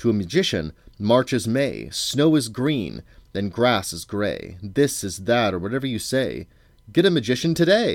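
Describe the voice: In a very clean recording with a silent background, a put-on character voice swings widely in pitch, with vocal fry, at a fairly slow pace. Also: man, fairly low pitch for a man.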